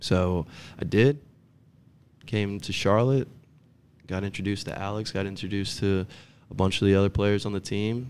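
In a New Jersey accent, the speaker talks at a moderate pace with fairly even intonation and long, frequent pauses, on a very clean recording with a silent background. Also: man. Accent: New Jersey American. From North Jersey, US. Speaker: professional soccer player. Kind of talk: casual interview chat.

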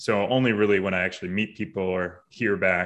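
In an American accent, a normal speaking voice shows ordinary pitch variation over a quiet background. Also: man. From Boston area, Massachusetts. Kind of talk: interview conversation.

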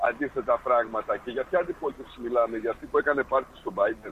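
Noticeable background noise accompanies the clip. A man speaks at a fairly quick pace. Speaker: caller. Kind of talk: casual chat.

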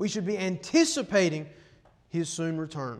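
This man's voice is high in pitch. His pitch varies in an ordinary way. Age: 20s. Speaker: preacher. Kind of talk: sermon. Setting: church.

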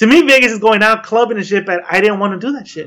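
A man's raised, projected voice, high in pitch with a bright, sharp tone and ordinary pitch variation. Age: 30s. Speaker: podcast host. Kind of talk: casual chat.

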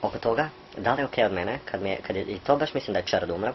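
Using a fairly low pitch, a man talks at a very fast pace. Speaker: podcast co-host. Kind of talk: casual chat. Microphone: poor recording quality.

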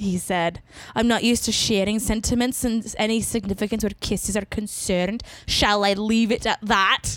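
The clip is plain reading aloud, and the intonation stays fairly even.

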